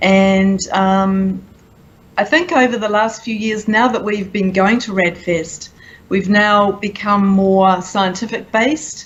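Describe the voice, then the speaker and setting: A somewhat breathy woman with a New Zealand accent, medium in pitch with fairly even intonation, at a very slow pace amid audible room echo. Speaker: conference attendee. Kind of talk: interview. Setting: conference event.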